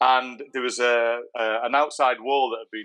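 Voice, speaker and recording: The voice has a bright, sharp tone and ordinary pitch variation over a quiet background. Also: man. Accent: English. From England. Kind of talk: interview answer.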